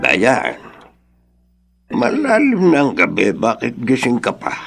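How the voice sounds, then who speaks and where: Over faint music in the background, a man uses a put-on character voice at medium pitch and a very slow pace. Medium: audio drama. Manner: warm, chuckling.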